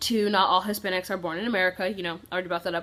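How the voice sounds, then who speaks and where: A woman is talking. Her pitch is medium. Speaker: youtuber. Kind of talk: storytime vlog. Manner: casual; fast.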